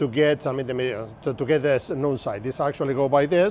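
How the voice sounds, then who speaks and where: This man speaks with a strong Argentine accent at a fairly high pitch. His intonation is fairly even. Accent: Argentinian Spanish accent, strong. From Argentina, Buenos Aires. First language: Spanish. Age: 50s. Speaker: navigation instructor. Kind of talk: lecture. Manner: casual, conversational.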